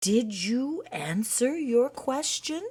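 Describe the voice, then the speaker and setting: A put-on character voice with a fairly high pitch. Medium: read story. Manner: gentle.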